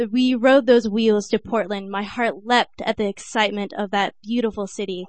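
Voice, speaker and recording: A woman with an American accent speaks at a moderate pace with hardly any pauses and fairly even intonation. She has a normal speaking voice, fairly high in pitch. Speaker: poet. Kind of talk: spoken-word poem performed at an open mic. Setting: stage with audience.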